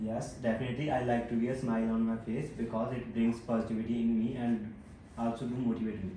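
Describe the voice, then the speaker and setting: A man with a Punjabi accent talks at a very fast pace. His intonation is monotone and flat, with audible room echo. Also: medium pitch for a man. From Punjab, India (Barnala district). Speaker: IELTS test candidate. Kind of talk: mock speaking exam answers.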